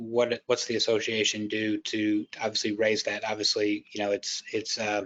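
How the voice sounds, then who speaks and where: A plain, everyday voice: a man with an American accent, medium pitch and moderate pace. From United States. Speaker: fintech consulting leader, panel moderator. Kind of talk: panel interview.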